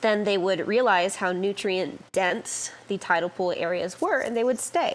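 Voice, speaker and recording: A woman speaks at a fairly slow pace with hardly any pauses, her pitch medium and its variation ordinary. Noticeable background noise sits behind her. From Hawaii. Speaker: surfer and freediver. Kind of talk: casual chat.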